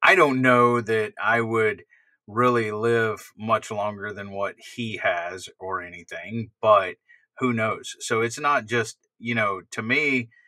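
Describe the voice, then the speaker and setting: Bright and sharp in tone, a man speaks at a very slow pace with fairly even intonation. The sound is dry with no echo, and the background is quiet. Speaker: stream co-host. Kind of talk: casual discussion. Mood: reflective, occasional laughs. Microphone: webcam.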